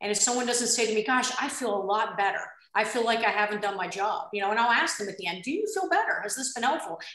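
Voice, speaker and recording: Against a quiet background with audible room echo, a woman speaks very fast in a fairly high voice with a bright, sharp tone and ordinary pitch variation. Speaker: nurse care manager; panelist. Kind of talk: panel discussion. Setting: video call. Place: home room. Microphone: video call.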